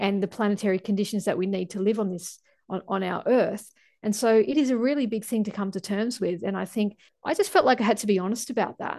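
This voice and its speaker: Against a quiet background, a woman talks at a very fast pace in a dark, mellow tone. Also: medium pitch for a woman, ordinary pitch variation. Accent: Australian. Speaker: climate scientist. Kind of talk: interview.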